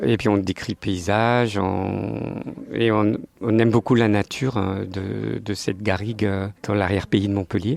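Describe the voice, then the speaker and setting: A man talks at a fairly slow pace with vocal fry and fairly even intonation. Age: 60s. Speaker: retiree, sports club president. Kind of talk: interview. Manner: hesitant, many fillers.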